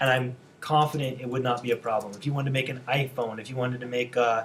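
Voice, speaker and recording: A man at a very fast pace, in a monotone, flat intonation. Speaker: design instructor. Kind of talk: lecture. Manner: casual.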